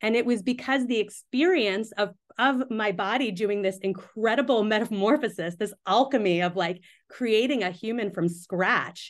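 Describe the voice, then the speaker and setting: A woman with a plain, everyday voice speaks at a moderate pace in a fairly high pitch, her intonation lively against a quiet background. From US, Pakistani-American family. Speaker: midwife and writer. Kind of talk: interview conversation.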